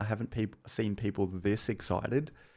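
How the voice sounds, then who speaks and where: Recorded very cleanly against a silent background, a man talks with an Australian accent. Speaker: gaming streamer. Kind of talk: casual live stream chat. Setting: home stream, partner sleeping nearby. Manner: soft-spoken.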